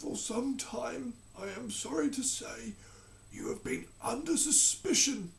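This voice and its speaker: A soft-spoken, raspy put-on character voice from a man, extremely high in pitch, with lively intonation at a fairly slow pace over clear background noise. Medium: read story. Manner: slow, soft.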